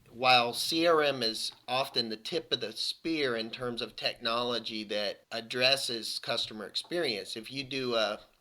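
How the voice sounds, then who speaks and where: A man speaks with a Southern US accent and hardly any pauses. The recording is very clean, with a silent background. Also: moderate pace. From US South. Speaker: IT consulting practice director. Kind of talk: podcast interview. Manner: repetitive false starts.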